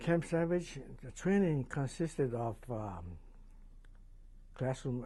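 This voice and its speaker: Speaking with a Hawaiian accent, a man uses lively intonation in a somewhat breathy, dark, mellow, medium-pitched voice. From Hawaii, Maui. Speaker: war veteran. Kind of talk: oral history interview. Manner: hesitant, many fillers.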